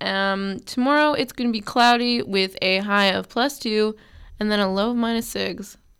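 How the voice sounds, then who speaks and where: A woman speaks in a plain, everyday voice at a fairly high pitch, with ordinary pitch variation and a moderate pace. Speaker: radio host. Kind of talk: casual radio banter with weather report. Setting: studio.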